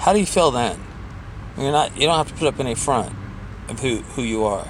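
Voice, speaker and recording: Speaking at a medium pitch and a fairly quick pace, a man is heard with audible room echo. Noticeable background noise runs underneath. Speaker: vlogger sharing anxiety advice. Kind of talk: casual self-help vlog. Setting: in a car, driving. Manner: hesitant, many fillers.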